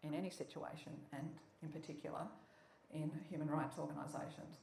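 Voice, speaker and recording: A woman with an Australian accent, very deep and low in pitch, at a moderate pace over noticeable background noise. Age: 70s. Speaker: intersex advocate. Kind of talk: public lecture.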